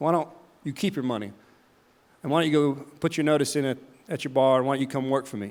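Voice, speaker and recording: In a Southern US accent, a man speaks at a fairly quick pace. His intonation is fairly even. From US South, the Carolinas. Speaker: charity founder, keynote speaker. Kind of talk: keynote talk. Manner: halting, repeats words.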